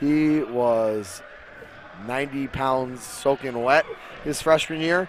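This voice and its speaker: Against noticeable background noise, a man with a medium pitch speaks with lively intonation. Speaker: wrestling coach. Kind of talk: casual interview.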